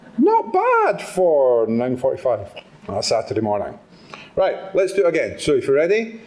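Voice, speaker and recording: A man speaks at a moderate pace. Room echo is audible, and there is noticeable background noise. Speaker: motivational speaker. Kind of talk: talk to live audience. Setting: stage with audience. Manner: animated.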